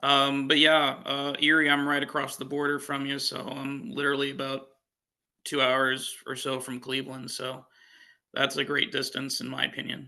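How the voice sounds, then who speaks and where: Against a quiet background, a man with a fairly high pitch and a bright, sharp tone talks at a moderate pace in a monotone, flat intonation. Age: 30s. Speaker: dating show contestant. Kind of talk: casual chat.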